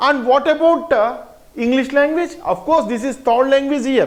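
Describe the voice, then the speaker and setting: A man with an Indian accent speaks at a moderate pace. Room echo is audible. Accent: Indian English, Telugu. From Telangana, India. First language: Telugu. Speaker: teacher. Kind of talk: lecture.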